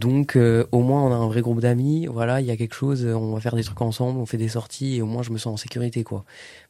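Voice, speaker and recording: The voice has a dark, mellow tone and flat, monotone intonation, running at a very fast pace with hardly any pauses. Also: man, medium pitch for a man, very clean recording, silent background. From Lorraine, France (Fléville-Lixières). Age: 20s. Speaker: drama student. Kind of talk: casual chat.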